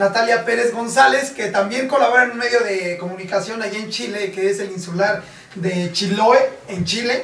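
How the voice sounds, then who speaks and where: A man speaks at a moderate pace. The room echo is audible, and there is light background noise. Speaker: TV show host. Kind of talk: scripted show intro. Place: studio.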